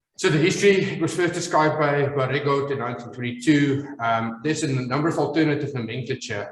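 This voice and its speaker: A man with an Afrikaans South African accent speaks at a medium pitch and a fairly quick pace, with audible room echo. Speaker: maxillofacial surgeon. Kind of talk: lecture. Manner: halting, many fillers.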